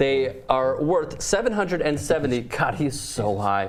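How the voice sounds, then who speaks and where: A man with a fairly high pitch. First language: not English. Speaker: sports show host. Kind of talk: casual sports talk.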